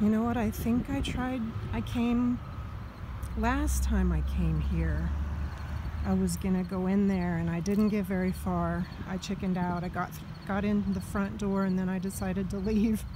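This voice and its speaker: Long, frequent pauses mark a woman's speech, which sounds dry with no echo over noticeable background noise. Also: moderate pace. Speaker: solo road-trip vlogger. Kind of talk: casual vlog chat. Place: open country. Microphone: phone near.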